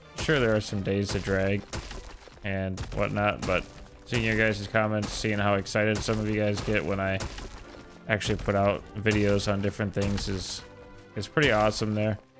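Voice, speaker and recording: A calm, monotone male voice, fairly low in pitch, at a moderate pace with long, frequent pauses and noticeable background noise. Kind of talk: casual live-stream chat.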